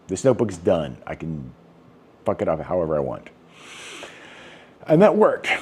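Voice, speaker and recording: A man talks at a fairly quick pace in a very deep, low pitch. His tone is dark and mellow, with vocal fry. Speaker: vlogger. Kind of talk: casual monologue. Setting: indoors, rainy day. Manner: self-conscious, odd rhythm; rambling with many fillers.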